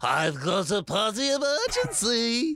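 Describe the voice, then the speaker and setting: A put-on character voice from a man, high in pitch and fairly slow in pace. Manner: zany, over-the-top.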